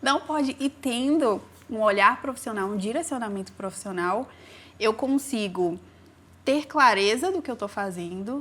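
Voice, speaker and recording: Lively intonation at a fairly slow pace in a plain, everyday voice. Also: woman, fairly high pitch for a woman. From Brazil, raised in a city. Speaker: singer. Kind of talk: interview.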